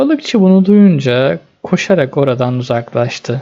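A man's fairly high voice with a dark, mellow tone, vocal fry, lively intonation and a fairly slow pace

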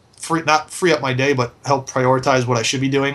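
A man with an American accent, very fast, with a bright, sharp tone and fairly even intonation. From US Northeast, Philadelphia. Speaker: e-commerce business owner; interviewee. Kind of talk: interview testimonial. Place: office. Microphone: webcam.

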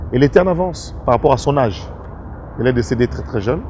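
A man speaks over light background noise. The recording sounds dry, without echo. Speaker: interviewee. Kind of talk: interview answer. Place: garden.

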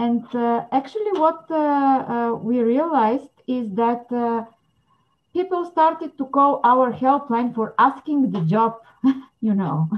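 Against a quiet background, a woman with a Bulgarian accent speaks very slowly in a high pitch, her intonation lively. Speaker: psychologist and anti-trafficking coordinator. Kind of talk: interview. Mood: serious, thoughtful.

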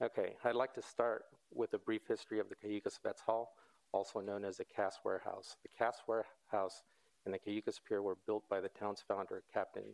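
At a moderate pace, a man talks against a quiet background. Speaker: presenter. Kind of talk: formal presentation. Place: hall.

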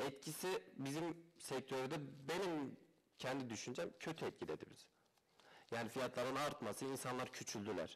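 A man speaks at a moderate pace with medium pitch. His pitch varies in an ordinary way. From Turkey, Malatya; Turkey. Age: 20s. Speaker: used car dealer. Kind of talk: interview. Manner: hesitant, many fillers. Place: studio. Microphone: headset.

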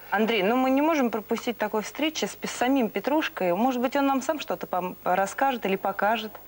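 With hardly any pauses and very even loudness, a woman talks at a moderate pace in a fairly high pitch that varies in an ordinary way. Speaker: tv presenter. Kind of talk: tv interview. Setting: studio. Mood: warm, smiling. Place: studio. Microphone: lapel.

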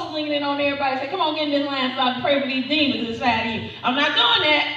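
A woman's high voice with ordinary pitch variation and audible room echo. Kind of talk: sermon. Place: church. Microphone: camera far.

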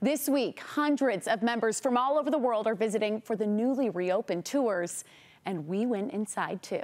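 This is a woman talking at a middling tempo. Her intonation rises and falls in an ordinary way. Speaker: TV news reporter. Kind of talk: news presentation. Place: studio. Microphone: lapel.

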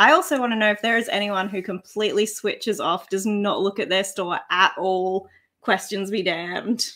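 With an Australian accent, a woman talks at a moderate pace in a bright, sharp tone. The background is quiet. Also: medium pitch for a woman, fairly even intonation. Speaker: online reseller, channel co-host. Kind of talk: casual live stream chat. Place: home room.

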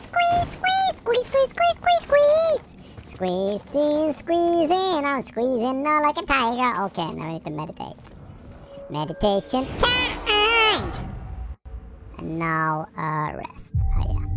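An energetic tone at a fairly slow pace, with long, frequent pauses over loud background noise. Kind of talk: let's-play commentary. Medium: game stream. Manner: energetic, silly.

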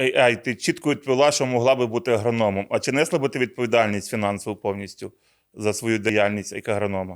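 Words arrive at a very fast pace, the pitch moving with ordinary variation. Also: man, medium pitch for a man, very clean recording, silent background. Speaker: regional seed product manager. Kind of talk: conversational agronomy talk show. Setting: studio.

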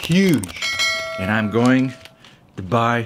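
A man speaks at a very slow pace. Light background noise sits behind him. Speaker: vlogger. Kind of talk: casual vlog chat. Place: home room. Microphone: phone near.

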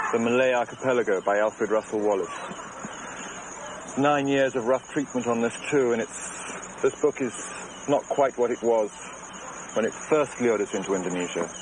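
A man with a medium pitch and ordinary pitch variation talks at a moderate pace, with noticeable background noise around him. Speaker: documentary filmmaker and narrator. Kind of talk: 1988 documentary narration, scripted voice-over.

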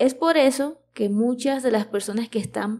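Speaking at a fairly slow pace, a woman with a fairly high pitch and a dark, mellow tone uses ordinary pitch variation. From Venezuela. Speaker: Spanish teacher, podcast host. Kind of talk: educational podcast narration for learners. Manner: clear, measured pace for learners.

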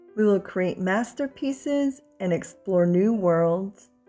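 Very slow speech over music in the background. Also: woman. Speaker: mother. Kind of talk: children's picture book read-aloud.

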